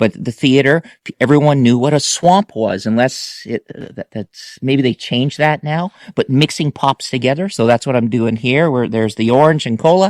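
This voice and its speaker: On a very clean recording with a silent background, a man speaks at a moderate pace and medium pitch with ordinary pitch variation, the sound dry and close with no echo. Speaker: food and movie reviewer. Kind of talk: product review vlog. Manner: halting.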